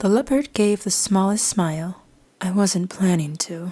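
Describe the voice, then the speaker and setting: A woman speaks at medium pitch and a moderate pace. Her tone is calm and somewhat breathy. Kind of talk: sleep story. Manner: soft-spoken, calm.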